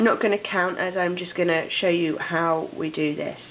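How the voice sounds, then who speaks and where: With noticeable background noise behind her, a woman with a British accent speaks at medium pitch with ordinary pitch variation. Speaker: crochet instructor. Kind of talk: tutorial.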